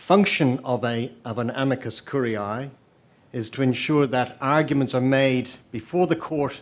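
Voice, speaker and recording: In an Irish accent, the speaker shows ordinary pitch variation on a very clean recording with a silent background. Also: man. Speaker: lawyer, amicus curiae in court. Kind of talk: legal argument before a court. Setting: courtroom, live-streamed hearing. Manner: formal.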